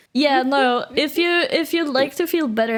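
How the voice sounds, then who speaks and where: Her intonation is lively. A woman talks with a Polish accent. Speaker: VTuber streamer. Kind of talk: casual chat. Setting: live stream.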